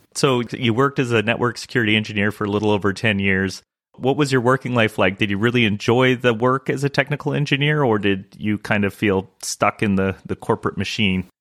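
Using an ordinary speaking voice, a man talks at a fairly quick pace with hardly any pauses, at medium pitch with ordinary pitch variation, the sound dry and close with no echo. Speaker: podcast interviewer. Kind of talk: interview.

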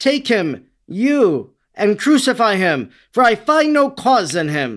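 A man speaks slowly in a put-on character voice, high-pitched and fairly bright, with big swings in pitch.

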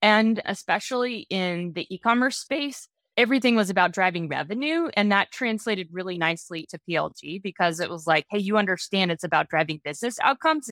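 Speaking at a fairly quick pace with hardly any pauses, the voice has lively intonation and a dry, close sound with no echo, captured in a very clean recording against a silent background. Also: woman, medium pitch for a woman. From northern US. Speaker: growth executive. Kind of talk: interview. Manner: direct.

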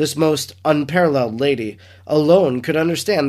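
A man with an unremarkable speaking voice, fairly high-pitched, with lively intonation and a fairly quick pace, on a very clean recording with a silent background. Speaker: priest podcaster reading and reflecting on a devotional book. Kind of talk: reading aloud of devotional text, prayerful. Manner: solemn, reverent, measured; earnest, devout, heartfelt.

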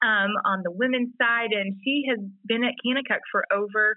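A woman's fairly high voice at a moderate pace. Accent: Mississippi. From Mississippi. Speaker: podcast co-host. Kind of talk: casual chat. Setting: remote call.

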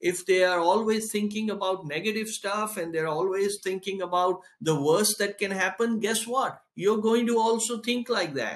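This man's voice is high-pitched, moving at a moderate pace with fairly even intonation. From India. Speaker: tech company founder. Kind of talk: interview.

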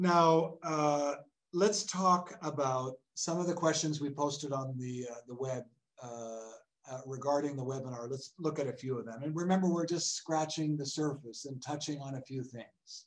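A man speaks in a plain, everyday voice, fairly high in pitch with ordinary pitch variation. His pace is moderate, and his loudness swings widely. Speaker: priest giving a talk. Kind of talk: religious talk with prayer and Q&A. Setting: online webinar.

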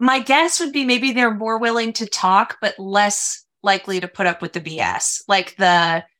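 With an American accent and an animated, bright, sharp tone, the speaker keeps a fairly slow pace with hardly any pauses, in a very clean recording over a silent background. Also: woman, fairly high pitch for a woman. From Minnesota. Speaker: sales executive. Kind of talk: interview. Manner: animated, talks with hands.

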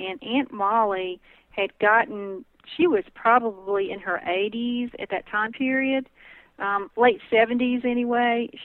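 With a Southern US accent, a woman speaks at a fairly slow pace and a fairly high pitch, her pitch varying in an ordinary way. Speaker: herbalist. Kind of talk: interview.

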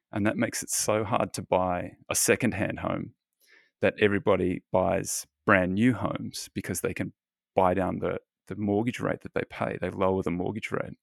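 The speaker has an Australian accent. The recording is very clean with a silent background and a dry, close sound with no echo. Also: man. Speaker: fund manager and author. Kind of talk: interview. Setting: home office.

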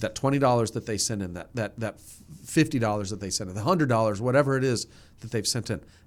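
This man talks at a very fast pace with an American accent. His pitch is medium and varies in an ordinary way. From New Jersey, near New York City. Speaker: nonprofit ministry chief executive. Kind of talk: casual interview chat.

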